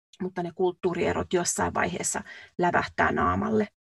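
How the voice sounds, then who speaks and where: A woman with a fairly low pitch and vocal fry speaks at a moderate pace in a dry, close sound without echo. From Finland. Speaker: podcast co-host, nurse. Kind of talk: casual chat. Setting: recording booth.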